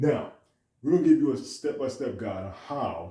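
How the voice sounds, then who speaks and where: In a somewhat breathy, dark and mellow tone, a man speaks with ordinary pitch variation. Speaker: detailing business owner. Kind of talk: tutorial. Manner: fast.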